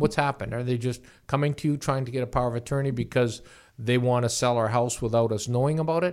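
Very fast speech with a Canadian accent and fairly even intonation, on a very clean recording with a silent background. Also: man, medium pitch for a man. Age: 60s. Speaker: real estate lawyer. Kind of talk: podcast interview.

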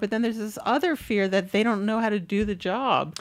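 Talking at a very fast pace, a woman with an American accent speaks fairly high in pitch. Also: very clean recording, silent background. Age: 50s. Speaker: author and writing professor. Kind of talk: casual chat.

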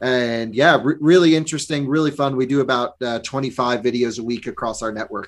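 A man with a normal speaking voice and an American accent, medium pitch, fairly even intonation, a fairly quick pace and hardly any pauses. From Vermont, US. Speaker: EV journalist and video creator. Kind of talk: interview.

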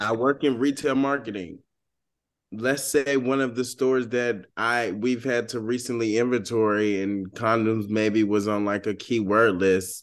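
A man with an American accent has a medium pitch and an unremarkable speaking voice. He talks at a fairly slow pace with fairly even intonation over a quiet background. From US South, Georgia. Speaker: podcast co-host. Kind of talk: casual chat.

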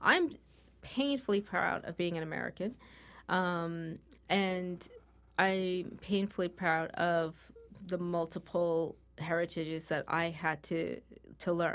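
Very slow speech with long, frequent pauses and fairly even intonation. The recording is very clean, with a silent background. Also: woman, fairly low pitch for a woman. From New York. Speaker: diversity expert. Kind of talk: interview. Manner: clearly enunciated.

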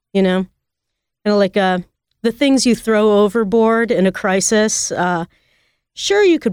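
A woman has a normal speaking voice, talking at a moderate pace with ordinary pitch variation on a very clean recording with a silent background. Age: 40s. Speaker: restaurant owner and chef. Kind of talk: casual chat.

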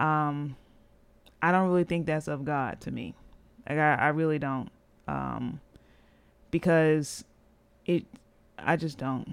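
Over a silent background in a very clean recording, a woman speaks at a fairly slow pace with long, frequent pauses. Her voice is very deep and low, and her intonation fairly even. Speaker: podcast host. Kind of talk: solo podcast monologue, personal storytelling. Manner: monotone, conversational; candid, reflective.

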